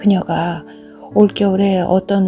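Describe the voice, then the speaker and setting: At a very slow pace and in a calm tone, a woman speaks at medium pitch with music in the background. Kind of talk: audiobook narration of a short story. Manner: soft-spoken, calm.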